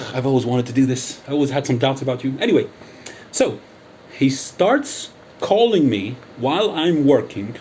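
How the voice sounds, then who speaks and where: Over noticeable background noise, a man with a fairly high pitch talks at a moderate pace in an animated tone, his lively intonation broken by long, frequent pauses. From United Kingdom. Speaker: YouTuber. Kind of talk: angry call-out monologue.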